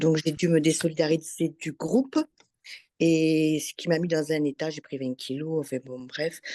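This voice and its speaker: In a dry, close recording with no echo, a woman speaks at a fairly slow pace with a very deep, low pitch and a dark, mellow tone. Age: 60s. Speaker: former workshop participant. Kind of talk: testimony.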